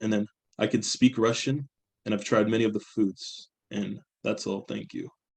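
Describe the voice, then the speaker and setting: A man speaks with a fairly low pitch, ordinary pitch variation and vocal fry, in an American accent. His pace is moderate, with long, frequent pauses, and the sound is dry and close with no echo. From San Francisco Bay Area, US. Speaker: student. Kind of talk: class presentation. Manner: halting.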